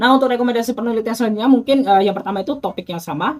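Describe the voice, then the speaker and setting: Background music plays as a man races through his words extremely fast. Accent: Bengkulu. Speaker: university student, YouTuber. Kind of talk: thesis defense presentation re-enactment. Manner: halting with fillers.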